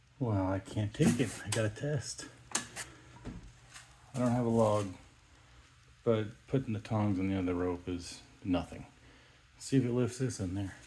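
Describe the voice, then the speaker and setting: Fairly low-pitched speech from a man at a fairly slow pace, with ordinary pitch variation, long, frequent pauses and noticeable background noise. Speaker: DIY video maker. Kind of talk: casual tutorial narration.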